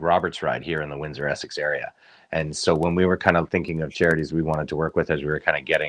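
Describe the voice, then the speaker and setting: Against a quiet background, a voice with a Canadian accent and vocal fry races along at a very fast pace. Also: man. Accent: muted Canadian. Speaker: motorcycle club member. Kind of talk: interview.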